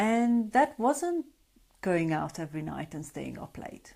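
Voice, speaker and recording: A woman with a Hungarian accent speaks very slowly on a very clean recording with a silent background. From Hungary. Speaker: sleep coach. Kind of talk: live stream talk. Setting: Facebook Live broadcast. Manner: conversational.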